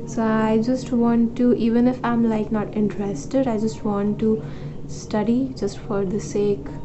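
There is noticeable background noise behind this recording. A woman speaks at a fairly slow pace. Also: ordinary pitch variation. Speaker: vlogger. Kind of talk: casual vlog chat. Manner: tired, low, sickly voice. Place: home room. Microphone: phone near.

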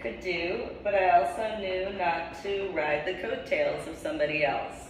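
A woman with an American accent is heard with audible room echo and light background noise. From New Jersey, US. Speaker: video blogger and ordained reverend. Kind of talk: monologue vlog. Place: home room. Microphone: camera far.

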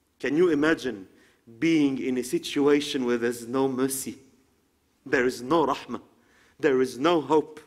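Against a quiet background, a man with an Arabic accent talks at a moderate pace with fairly even intonation and long, frequent pauses. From Egypt. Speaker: Islamic preacher. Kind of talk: sermon. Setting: lecture hall with audience. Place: hall.

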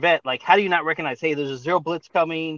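Speaking very fast with an American accent, a man's bright, sharp tone comes through dry and echo-free over a quiet background. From US South. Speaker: caller, mosquito control worker; caller. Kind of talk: casual chat. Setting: outdoors. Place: car. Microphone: video call.

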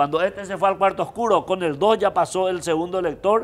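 A man talks at a fairly quick pace, his pitch high. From Paraguay. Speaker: electoral expert; guest. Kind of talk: political panel discussion. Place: studio. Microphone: lapel.

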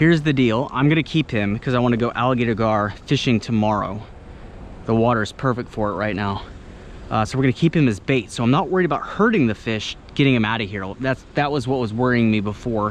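A man speaks at a very fast pace with a dry sound, no echo and light background noise. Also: ordinary pitch variation. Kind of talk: casual vlog commentary. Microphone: phone near.

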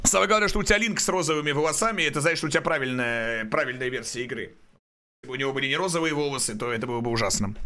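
A man's fairly high voice at a very fast pace, with lively intonation. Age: 30s. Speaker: video game streamer. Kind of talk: live stream gameplay chat. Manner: stutter; casual, animated. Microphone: studio mic.

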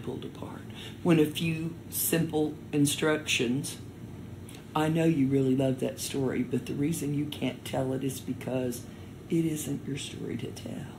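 A woman's very deep, low voice, somewhat breathy, with fairly even intonation at a fairly slow pace. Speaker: storyteller. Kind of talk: interview answer.

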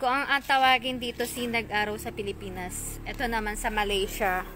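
This woman talks fairly slowly. Noticeable noise can be heard behind her. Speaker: vlogger showing spiritual items. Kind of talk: live selling stream. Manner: animated. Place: garden. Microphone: phone near.

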